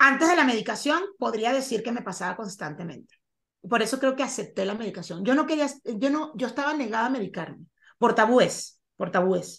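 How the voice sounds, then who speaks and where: A woman with a coastal Venezuelan accent talks at a fairly quick pace in a fairly high pitch. Her intonation is lively, and the background is quiet. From Venezuela, Caribbean coast. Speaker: actress and podcaster. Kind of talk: interview about mental health. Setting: video call.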